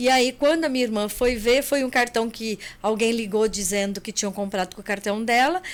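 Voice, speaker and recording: The pitch moves in an ordinary way, and the pace is fairly quick. There are hardly any pauses. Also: woman, fairly high pitch for a woman. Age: 60s. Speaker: accountant and travel agency owner. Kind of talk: podcast interview.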